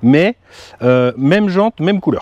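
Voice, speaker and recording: A man's fairly high voice swings very widely in pitch, with a dry sound and no echo. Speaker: car YouTube host. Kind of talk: casual chat. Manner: animated. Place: open country. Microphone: lapel.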